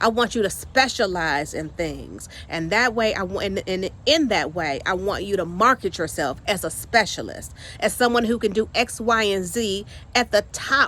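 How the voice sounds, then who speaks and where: A woman with a medium pitch uses a bright, sharp tone, an animated tone and lively intonation, with some vocal fry. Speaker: career coach and training consultant. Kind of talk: casual vlog monologue. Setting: outdoors in the yard. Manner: fast.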